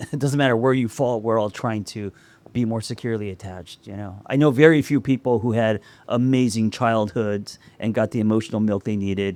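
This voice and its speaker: A man with a medium-pitched voice speaks at a fairly quick pace with ordinary pitch variation. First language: not English. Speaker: podcast co-host, author. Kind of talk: live podcast chat. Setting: rooftop with live audience.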